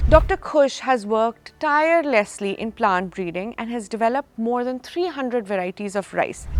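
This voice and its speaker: Lively intonation carries a normal speaking voice. The pace is moderate, with hardly any pauses. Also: woman, fairly high pitch for a woman. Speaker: podcast host. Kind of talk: podcast introduction.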